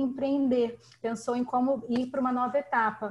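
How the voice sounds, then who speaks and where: A woman is speaking. Her pitch is high. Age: 30s. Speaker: participant asking a question. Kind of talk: live online Q&A.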